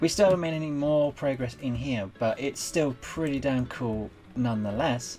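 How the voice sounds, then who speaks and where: A woman's very deep, low voice at a moderate pace, ordinary pitch variation, music in the background. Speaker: gaming youtuber. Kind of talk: let's play commentary.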